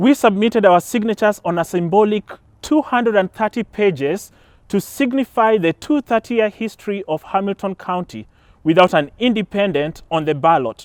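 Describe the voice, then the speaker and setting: In a Kenyan accent, a man speaks at a high pitch and moderate pace with lively intonation, the recording very clean with a silent background and a dry, close sound with no echo. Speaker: political candidate. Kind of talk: campaign speech. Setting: outdoors in a park, small audience.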